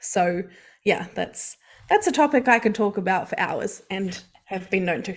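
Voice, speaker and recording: At a moderate pace, a woman speaks in a medium pitch with ordinary pitch variation on a very clean recording with a silent background. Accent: New Zealand. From New Zealand. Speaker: mindset coach and hypnotherapist. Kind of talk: podcast interview.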